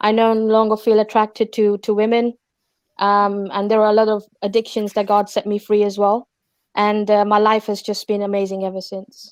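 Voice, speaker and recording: A woman speaks in a monotone with flat intonation and a London accent. The sound is dry and close with no echo, on a very clean recording with a silent background. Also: fairly high pitch for a woman, moderate pace. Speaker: testimony guest. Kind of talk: testimony.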